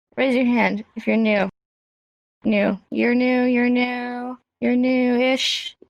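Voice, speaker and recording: A woman talks very slowly in a high, monotone voice with flat intonation and very even loudness, recorded dry and close with no echo. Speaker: sign language teacher. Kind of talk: lecture. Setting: VR chat room with group. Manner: low energy.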